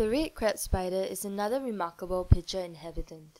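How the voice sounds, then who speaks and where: A woman's medium-pitched voice with a dark, mellow, calm tone, ordinary pitch variation and a moderate pace. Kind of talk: nature documentary narration, scripted and informative. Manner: measured, even-paced and formal, like a calm educational narrator; clear and precise, with a neutral, slightly curious tone.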